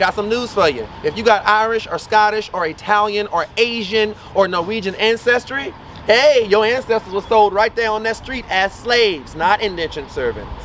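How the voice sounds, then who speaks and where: An animated man with a Louisiana accent talks in a high voice with hardly any pauses. Noticeable background noise is present. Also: ordinary pitch variation, moderate pace. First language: Louisiana Creole. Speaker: voodoo priest and tour guide. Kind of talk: guided walking tour talk.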